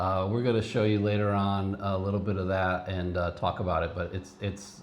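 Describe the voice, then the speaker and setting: A man with an American accent speaks at a fairly low pitch, with noticeable background noise and audible room echo. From Cleveland, Ohio, US. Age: 50s. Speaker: retired biotech professional, vlogger. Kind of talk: casual chat.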